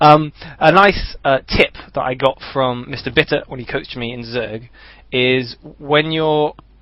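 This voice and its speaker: With an unremarkable speaking voice, a man talks at a fairly slow pace, his pitch fairly high and his intonation fairly even. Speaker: gamer and co-caster. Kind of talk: live game commentary. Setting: live stream.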